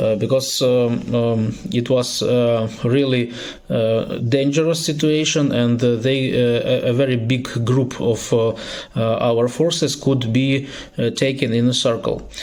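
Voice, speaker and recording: A man with a non-native accent speaks at a fairly slow pace in a medium pitch, with fairly even intonation and very even loudness. Audible room echo and noticeable background noise surround him. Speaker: political activist. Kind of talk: recorded video statement. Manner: halting, many filler sounds.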